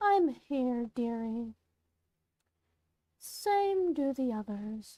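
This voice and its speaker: Putting on a character voice, the woman draws out her words very slowly in a high register. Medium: game stream. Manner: teasing, affectionate.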